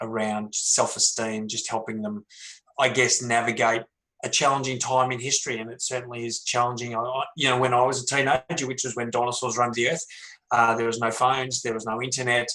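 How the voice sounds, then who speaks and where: This man talks with an Australian accent at a medium pitch and a fairly quick pace. His intonation is monotone and flat. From Melbourne, Australia. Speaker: author and former pro footballer. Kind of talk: panel discussion.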